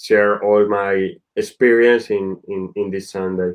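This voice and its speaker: A man talks with a Spanish accent. His pitch is fairly low. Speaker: football director. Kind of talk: presentation. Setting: online webinar. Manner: halting, non-fluent English.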